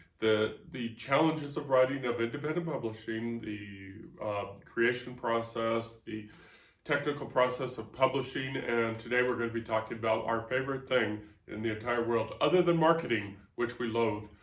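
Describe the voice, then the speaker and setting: A man with a medium pitch and ordinary pitch variation speaks amid noticeable background noise and audible room echo. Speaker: podcast host and author. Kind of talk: casual chat. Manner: fast.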